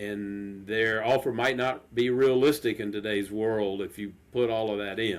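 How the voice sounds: The pace is fairly slow and the intonation fairly even. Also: man, fairly low pitch for a man.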